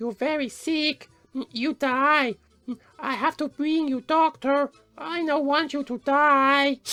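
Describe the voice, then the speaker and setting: With music in the background, a woman uses a put-on character voice, high in pitch and fairly slow. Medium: audio drama. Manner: blunt, broken English.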